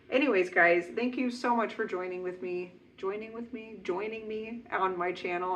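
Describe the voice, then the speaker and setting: This is a woman talking. Her pitch variation is ordinary. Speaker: knitting podcaster. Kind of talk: casual chat. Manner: fast.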